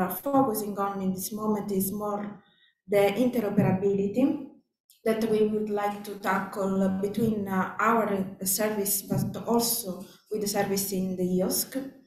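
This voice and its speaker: A woman speaks at a fairly slow pace with a non-native accent and fairly even intonation, her voice carrying audible room echo. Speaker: conference speaker. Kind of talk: conference presentation. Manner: hesitant, many fillers.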